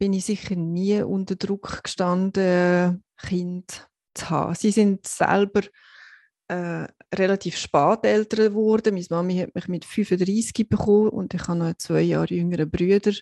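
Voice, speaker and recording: At a fairly slow pace, a woman speaks at medium pitch with a dark, mellow tone and monotone, flat intonation, her sound dry and close with no echo against a quiet background. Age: 40s. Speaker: podcast co-host. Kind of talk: personal testimony.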